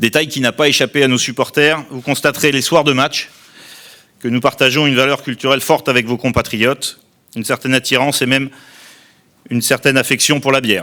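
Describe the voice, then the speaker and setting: A man's bright, sharp voice in a flat monotone, broken by long, frequent pauses. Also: medium pitch for a man, fairly quick pace. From southern France, Tarn-et-Garonne. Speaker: outgoing club president. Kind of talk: formal speech. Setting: press conference. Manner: formal.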